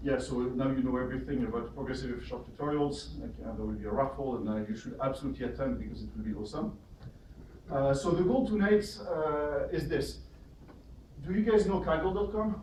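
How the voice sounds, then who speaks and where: Noticeable background noise and audible room echo fill the recording. A man is talking at a fairly quick pace. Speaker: software speaker, meetup organizer. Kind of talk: workshop talk to audience. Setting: meetup room with live audience. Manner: speaks faster when excited.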